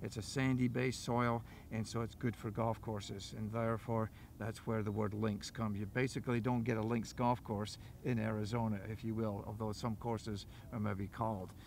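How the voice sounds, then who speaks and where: A man's monotone, flat intonation moves at a moderate pace, with light background noise underneath. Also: medium pitch for a man, dry sound with no echo. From Dundee, Scotland. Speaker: golf teaching professional. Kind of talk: interview answer. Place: open country. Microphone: lapel.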